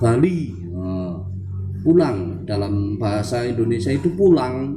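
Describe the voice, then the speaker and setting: Audible room echo surrounds a man speaking at a very slow pace with a medium pitch. His tone is dark and mellow, somewhat breathy, with lively intonation. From Central Java, Wonosobo. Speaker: language teacher, channel owner. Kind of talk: tutorial. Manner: halting.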